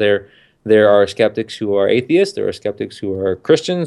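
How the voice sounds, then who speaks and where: A man's normal speaking voice, ordinary pitch variation, very clean recording with a silent background. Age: 30s. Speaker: podcaster. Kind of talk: casual chat.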